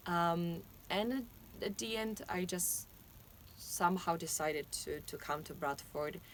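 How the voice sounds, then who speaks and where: A woman speaks with a Polish accent and vocal fry. Her intonation is lively. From Poland. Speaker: university student. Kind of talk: interview. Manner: halting.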